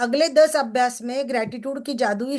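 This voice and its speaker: Her voice sits high for a woman, with ordinary pitch variation, and the background is quiet. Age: 60s. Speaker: success coach. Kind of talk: book reading and discussion with group. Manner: conversational, interactive.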